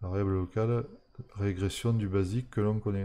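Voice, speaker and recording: A man speaks at a moderate pace with a fairly low pitch and a dark, mellow tone. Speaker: programming streamer. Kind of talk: live-streamed coding tutorial. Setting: live stream from home. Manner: hesitant, many fillers.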